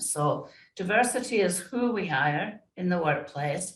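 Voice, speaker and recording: Somewhat breathy and at a medium pitch, a woman speaks with audible room echo around her. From Scotland. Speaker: diversity and inclusion consultant. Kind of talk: interview conversation.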